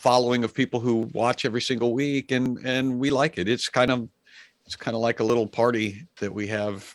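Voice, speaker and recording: A man talks at a fairly quick clip in a medium pitch, the sound dry and close with no echo. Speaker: comedian and author. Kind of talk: casual interview chat.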